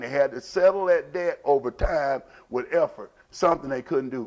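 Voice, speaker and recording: The speaker is a man with lively intonation. He keeps a moderate pace. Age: 60s. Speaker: opinion show host. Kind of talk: opinion monologue. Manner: halting.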